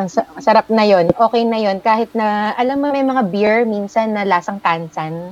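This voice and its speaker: Using a playful tone, a woman talks at a moderate pace with ordinary pitch variation. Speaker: country manager, guest curating a playlist. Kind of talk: casual chat. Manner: playful, lots of laughter.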